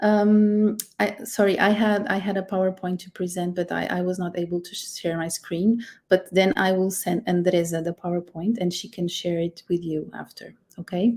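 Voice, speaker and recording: A somewhat breathy woman with a Portuguese accent, medium pitch, fairly even intonation, big swings in loudness and a moderate pace. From Portugal. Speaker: immigration lawyer. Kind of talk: webinar presentation. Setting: live stream. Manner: halting, many fillers.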